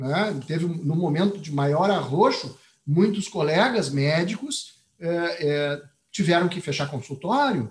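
Speaking at a fairly slow pace in a southern Brazilian accent, a man uses a high pitch and lively intonation. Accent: gaúcho accent, noticeable. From Rio Grande do Sul, Brazil. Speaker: occupational physician, professor. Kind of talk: panel discussion.

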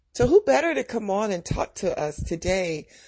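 Speaking at a fairly slow pace, a woman with a medium pitch sounds somewhat breathy, her tone warm and animated. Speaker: podcast host. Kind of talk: podcast intro and outro, encouraging. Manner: warm, animated, laughing.

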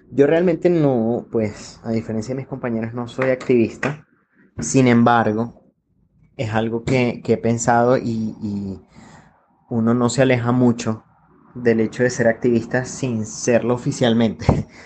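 A man speaks at a fairly slow pace in a plain, everyday voice, medium in pitch with fairly even intonation. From Venezuela. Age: 30s. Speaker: industrial engineer. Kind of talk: personal testimony.

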